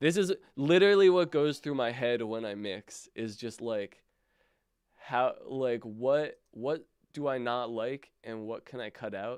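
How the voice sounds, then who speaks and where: A man's medium-pitched voice with lively intonation, a plain, everyday voice. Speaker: music producer teaching mixing. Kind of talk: livestream tutorial. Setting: livestream. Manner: casual, relaxed.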